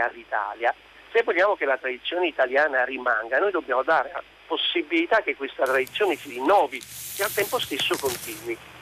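This man has a plain, everyday voice, fairly high for a man, with lively intonation at a fairly quick pace and a dry, close sound with no echo. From Naples, southern Italy. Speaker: radio caller. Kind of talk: phone-in call. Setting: phone call.

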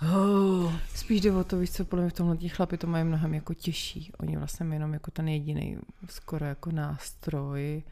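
Her tone is dark and mellow, and her pitch is fairly low for a woman. She keeps a moderate pace with fairly even intonation. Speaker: podcast guest. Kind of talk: casual chat. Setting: at home.

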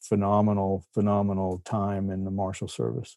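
Heard on a very clean recording with a silent background, the voice has a Texan accent and a dark, mellow tone. It moves at a moderate pace. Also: man. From Texas, near Fort Worth. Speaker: novelist and former deputy marshal. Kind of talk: casual interview.

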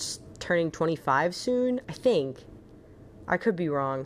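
A woman's fairly low voice in an animated tone. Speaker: podcast host. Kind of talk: casual solo podcast monologue. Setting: home recording with cat. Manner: chatty, gushing, animated.

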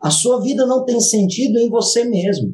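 A man's high-pitched voice with a dark, mellow tone and ordinary pitch variation. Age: 30s. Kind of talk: casual interview chat.

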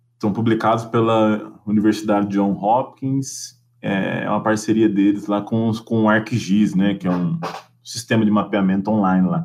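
Speaking at a moderate pace with a plain, everyday voice, a man keeps his fairly low pitch to ordinary variation. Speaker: geography professor. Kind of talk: casual chat.

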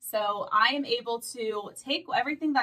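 A woman with an ordinary speaking voice, fairly high in pitch, with ordinary pitch variation. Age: 20s. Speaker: former bank manager sharing keto experience. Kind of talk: casual interview.

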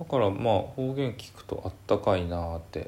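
A man's somewhat breathy voice has lively intonation and a moderate pace. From Hakodate, Hokkaido. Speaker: podcast co-host. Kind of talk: casual chat.

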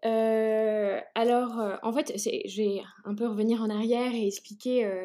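Her tone dark and mellow, a woman speaks at a very slow pace with a fairly high pitch and fairly even intonation. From China (French family). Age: 30s. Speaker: entrepreneur. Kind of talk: interview. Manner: halting, many hesitations.

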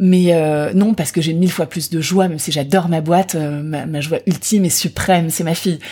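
A woman's dark, mellow tone holds fairly even intonation at a moderate pace. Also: fairly low pitch for a woman. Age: 40s. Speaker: beauty brand founder. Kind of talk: interview.

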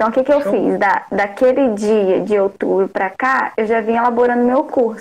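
Speaking at a moderate pace with fairly high pitch, ordinary pitch variation, very even loudness and hardly any pauses, a woman talks on. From Rio de Janeiro state interior. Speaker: nutritionist. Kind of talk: casual chat. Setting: live call on stream.

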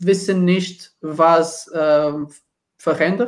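A man is speaking. He has a Portuguese accent. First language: Portuguese (speaking German). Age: 20s. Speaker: supermarket project manager. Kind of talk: casual chat. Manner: halting.

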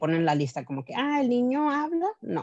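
Recorded with a dry, close sound with no echo, a woman's voice comes through against a quiet background. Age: 30s. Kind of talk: testimony. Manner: hesitant, many fillers.

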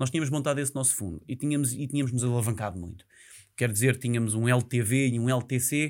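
The recording is very clean, with a silent background. A man talks very fast at a medium pitch, using ordinary pitch variation. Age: 30s. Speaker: real estate investment professional. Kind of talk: casual interview. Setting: studio.

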